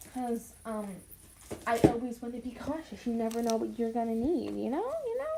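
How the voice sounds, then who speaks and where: A woman's fairly high voice with fairly even intonation, amid noticeable background noise. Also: moderate pace. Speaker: gaming youtuber. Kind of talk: game commentary reading aloud. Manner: loud. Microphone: not using a microphone, built-in mic.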